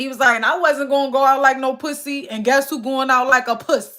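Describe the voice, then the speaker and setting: A woman with a Philadelphia accent speaks in a raised, projected voice at a moderate pace. Her high pitch and bright, sharp tone sound animated. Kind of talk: casual, heavy slang. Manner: animated storyteller.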